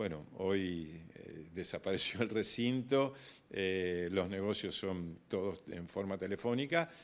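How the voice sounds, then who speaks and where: A man speaks at a very deep, low pitch, varying it in an ordinary way. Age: 60s. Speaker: grain broker. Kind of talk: interview. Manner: hesitant, many fillers and repetitions.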